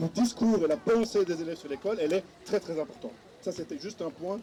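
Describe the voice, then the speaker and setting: A man's high-pitched voice carries ordinary pitch variation, with noticeable background noise behind it. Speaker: panel speaker at a political conference. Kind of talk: panel discussion.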